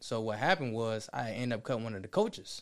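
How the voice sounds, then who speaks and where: A man speaks against a quiet background. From Chicago, west side. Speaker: fitness trainer and barber. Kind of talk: casual interview.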